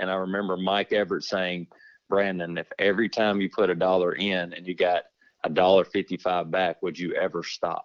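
With a Texan accent, a man speaks at a moderate pace in a very deep, low pitch and a monotone, flat intonation. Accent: Texan Southern US. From Texas. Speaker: insurance agent. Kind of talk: casual interview. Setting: phone call.

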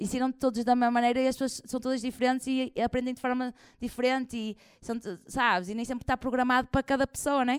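A woman speaks at a very fast pace in a high, animated voice. The sound is dry and close with no echo, and the recording is very clean with a silent background. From northern Portugal, Porto area. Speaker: comedian. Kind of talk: live interview before audience. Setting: stage with audience.

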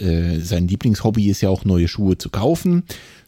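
A man's fairly low, dark and mellow voice with lively intonation at a moderate pace, dry and close with no echo. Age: 30s. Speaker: running podcast co-host. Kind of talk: casual chat. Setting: remote recording.

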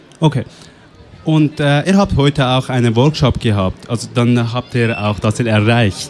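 Noticeable background noise sits under this recording. A man speaks at a medium pitch and a fairly slow pace. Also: ordinary pitch variation. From Afghanistan. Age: 20s. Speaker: youth radio workshop participant. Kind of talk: interview; announcements. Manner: halting.

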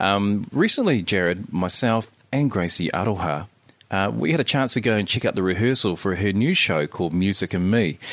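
Here a man speaks with a New Zealand accent at a fairly low pitch. His intonation is lively and his loudness very even. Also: moderate pace. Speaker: podcast host. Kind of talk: casual chat. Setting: home recording studio.

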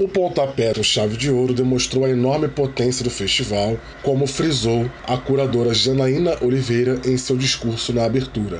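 Noticeable background noise runs behind a man speaking at a medium pitch and a moderate pace. His loudness stays very even, his pitch variation is ordinary, and he leaves hardly any pauses. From Rio de Janeiro, Brazil. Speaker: correspondent reporter. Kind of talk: scripted news report.

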